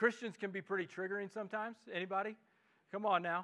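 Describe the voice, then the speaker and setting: With a Midwestern accent, a man projects a raised, high-pitched voice with a bright, sharp tone, fairly even intonation and a fairly quick pace. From US Midwest. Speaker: pastor. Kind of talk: sermon. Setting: church.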